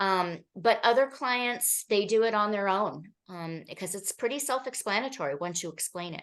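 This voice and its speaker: A woman uses an ordinary speaking voice at a medium pitch and a moderate pace. Her intonation is lively, her loudness swings widely, and the background is quiet. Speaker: therapist presenting at a workshop. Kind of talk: presentation.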